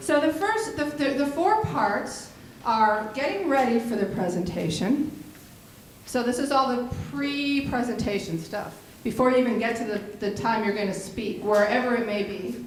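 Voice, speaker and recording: Her intonation is lively, and this woman's pitch sits fairly high at a moderate pace. Audible room echo surrounds her voice. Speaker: workshop trainer, advocacy group director. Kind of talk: training workshop. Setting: workshop room with live audience.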